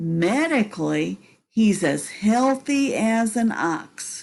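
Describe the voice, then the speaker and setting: A female-sounding put-on character voice at a fairly high pitch moves at a very slow pace over a quiet background. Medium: read story. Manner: dry, brusque.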